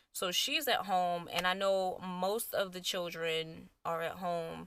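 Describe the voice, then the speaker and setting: On a very clean recording with a silent background, a woman with a New York accent speaks at medium pitch in a bright, sharp tone. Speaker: beauty YouTuber. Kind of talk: casual vlog chat. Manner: casual, conversational.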